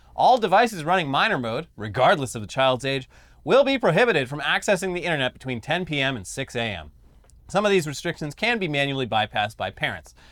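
A man speaks very fast with a fairly high pitch, very wide pitch swings, and vocal fry. The recording is very clean, with a silent background. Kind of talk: wrestling announcer parody.

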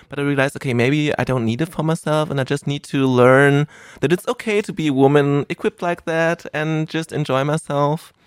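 With a German accent, a man speaks at a fairly high pitch and a fairly quick pace. His pitch varies in an ordinary way, and the sound is dry and close, with no echo. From Germany (rural). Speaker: adult film performer. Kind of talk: casual chat. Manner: rambling.

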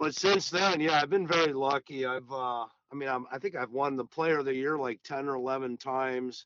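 A man with an American accent and an unremarkable speaking voice, fairly high in pitch, at a moderate pace. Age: 60s. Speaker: golf professional and teacher. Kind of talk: casual interview.

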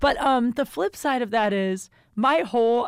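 A woman speaks at a fairly slow pace in a fairly high pitch, her intonation lively and her tone animated, on a very clean recording with a silent background. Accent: American. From US Midwest, Ohio. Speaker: comedian. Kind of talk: casual chat.

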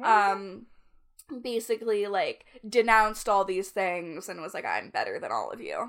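Speaking with a Canadian accent, a woman has an unremarkable speaking voice, fairly high in pitch, at a moderate pace. Her intonation stays fairly even while her loudness swings widely. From Canada. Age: 20s. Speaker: podcast co-host. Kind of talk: casual chat.

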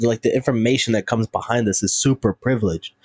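Dry and close with no echo, an ordinary speaking voice in an American accent moves at a fairly quick pace. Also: man. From North Carolina, US South. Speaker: musician. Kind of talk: casual chat.

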